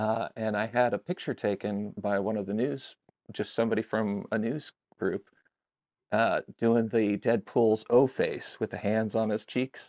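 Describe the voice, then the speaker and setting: A man with a plain, everyday voice speaks fairly slowly at a medium pitch, with fairly even intonation. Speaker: car owner and fan club member. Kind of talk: casual chat.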